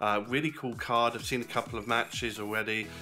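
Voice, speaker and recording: A man with fairly even intonation over clear background music. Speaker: wrestling fan vlogger. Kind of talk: casual vlog chat. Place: kitchen. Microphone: phone near.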